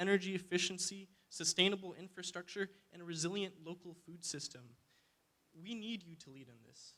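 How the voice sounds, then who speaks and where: With an American accent, a man speaks at a fairly quick pace and a high pitch in a raised, projected voice with a bright, sharp tone. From Alaska, Fairbanks. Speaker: student climate activist. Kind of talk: public testimony. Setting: public hearing. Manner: hesitant, many fillers.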